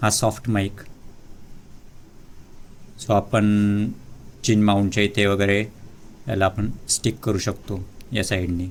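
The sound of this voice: Speaking at a slow pace with long, frequent pauses, a man keeps a fairly low pitch with little pitch movement.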